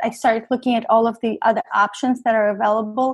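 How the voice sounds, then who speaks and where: A woman speaks with a slight non-native accent and a high pitch. Her intonation stays fairly even. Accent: slight foreign accent in English. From Russia, then New York from about 10. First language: Russian. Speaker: cancer survivor, photographer. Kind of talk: interview testimony.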